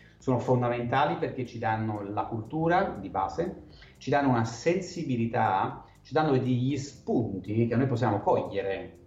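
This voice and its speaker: A man's medium-pitched voice at a moderate pace, with lively intonation over noticeable background noise. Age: 40s. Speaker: wine sales and marketing consultant. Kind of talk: interview.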